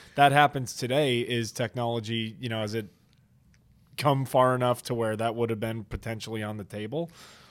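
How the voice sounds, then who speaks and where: In an American accent, an ordinary speaking voice moves at a fairly quick pace with fairly even intonation, captured in a very clean recording with a silent background. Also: man, medium pitch for a man. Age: 20s. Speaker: podcast host and former lacrosse player. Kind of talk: casual interview chat. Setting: studio, on camera.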